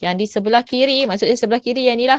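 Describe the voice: A woman speaks in a dry, close recording with no echo.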